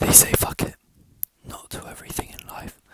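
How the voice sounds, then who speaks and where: The speaker whispers at a moderate pace. Background noise is noticeable. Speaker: ASMR reader / channel host. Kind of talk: audiobook-style reading aloud. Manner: whispered, soft.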